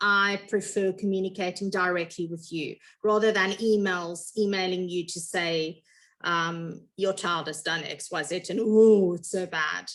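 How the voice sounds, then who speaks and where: In a normal speaking voice, a woman speaks at a fairly slow pace with a medium pitch. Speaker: grade one teacher. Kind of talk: information meeting for parents. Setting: video call.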